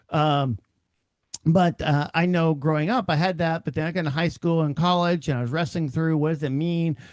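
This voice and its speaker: Against a quiet background, a man with an American accent speaks at a fairly quick pace, his fairly high pitch held in fairly even intonation. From Oklahoma, Cherokee reservation. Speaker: podcast host. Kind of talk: personal reflection podcast. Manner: hesitant, many fillers.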